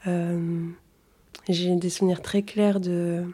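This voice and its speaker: Her dark, mellow tone sits at a medium pitch as this woman speaks at a very slow pace. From Tunisia and Toulouse, France. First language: Arabic (speaking French). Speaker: storyteller. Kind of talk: casual chat.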